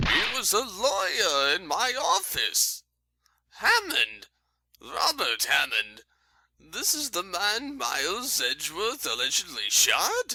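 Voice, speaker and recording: In a put-on character voice, a man speaks at an extremely high pitch and a fairly slow pace. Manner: pompous, rambling.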